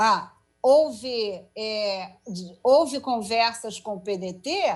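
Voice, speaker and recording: A woman speaking at a very slow pace. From Rio de Janeiro, Brazil (Penha). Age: 60s. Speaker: politician, mayoral candidate. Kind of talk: political interview.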